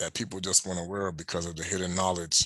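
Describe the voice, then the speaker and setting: A man speaks with a very deep, low pitch and a bright, sharp tone. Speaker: religious teacher. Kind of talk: sermon. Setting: home at night. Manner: soft-spoken; halting.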